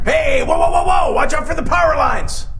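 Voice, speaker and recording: Shouting at a fairly quick pace, a man performs a put-on character voice with a slight echo. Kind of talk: late-night horror host patter. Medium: stage play. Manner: upbeat, hammy, slangy.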